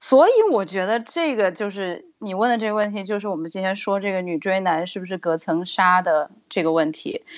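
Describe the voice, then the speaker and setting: Using an ordinary speaking voice, a woman talks at a medium pitch and a moderate pace with ordinary pitch variation and hardly any pauses. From China. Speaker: guest. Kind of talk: casual chat.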